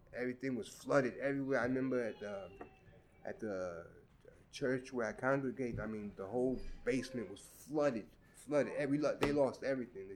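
A man with a New York accent talks fairly quickly at medium pitch with ordinary pitch variation, big swings in loudness, and long, frequent pauses. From Brooklyn, New York (Crown Heights). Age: 50s. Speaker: community resident interviewed for oral history. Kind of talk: oral history interview. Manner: hesitant, many fillers.

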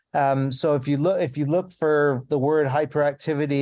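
A man with a Canadian accent and a dark, mellow tone, fairly high in pitch, against a quiet background. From Canada. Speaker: health history professor. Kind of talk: interview.

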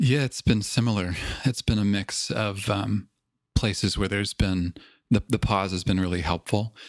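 A man with a Canadian accent and a normal speaking voice speaks at a moderate pace, fairly low in pitch with fairly even intonation, in a dry, close sound with no echo. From Canada, Toronto. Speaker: podcast host, mindfulness teacher. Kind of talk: interview.

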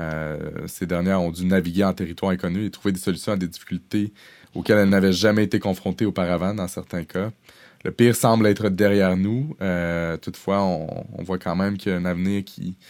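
On a very clean recording with a silent background, a man with a very deep, low pitch speaks at a fairly quick pace with fairly even intonation. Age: young. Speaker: podcast host, HR professional. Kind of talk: interview.

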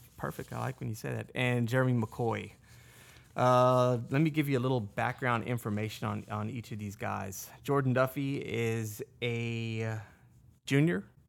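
The recording is very clean against a silent background. A plain, everyday voice keeps a moderate pace and fairly even intonation. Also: man, medium pitch for a man. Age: 40s. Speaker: podcast host. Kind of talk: casual chat.

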